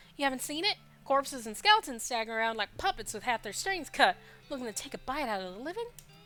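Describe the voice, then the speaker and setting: Doing a gruff, put-on character voice, a woman speaks at a very fast pace and high pitch over clear background noise. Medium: game stream. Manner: broken grammar, talks of himself by name, repeats words; gruff, sarcastic.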